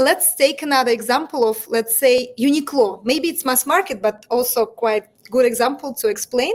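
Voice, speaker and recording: With a Russian accent, a woman speaks at a moderate pace in a high pitch with ordinary pitch variation. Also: hardly any pauses. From Russia, Moscow. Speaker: entrepreneur. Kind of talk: interview. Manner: halting.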